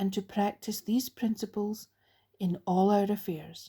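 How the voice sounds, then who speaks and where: Against a silent background on a very clean recording, a woman speaks fairly slowly in a somewhat breathy, medium-pitched voice. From Scotland. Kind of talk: recovery literature reading.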